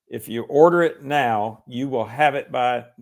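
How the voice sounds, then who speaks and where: In a very clean recording with a silent background, a man with a Southern US accent speaks at a fairly slow pace. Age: 60s. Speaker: lawyer and author. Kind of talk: interview. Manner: halting, many fillers.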